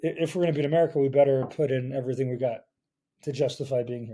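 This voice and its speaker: In a dark, mellow tone, a man speaks at a fairly quick pace with fairly even intonation. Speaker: podcast host. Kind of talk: casual chat. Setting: at home. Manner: halting.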